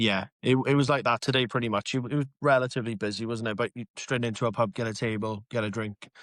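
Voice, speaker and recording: A man with a South Wales accent talks at a very fast pace with hardly any pauses, his medium pitch held in fairly even intonation. The recording is very clean, with a silent background and a dry, close sound with no echo. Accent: South Wales (Swansea area) Welsh English. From Wales, Pontarddulais near Swansea. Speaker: social media comedian. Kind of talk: casual chat.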